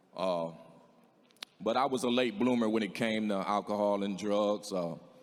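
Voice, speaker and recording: Amid audible room echo, a man talks at a moderate pace with a fairly low pitch and fairly even intonation. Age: 60s. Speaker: singer in recovery. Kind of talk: testimony. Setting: stage with audience. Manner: halting.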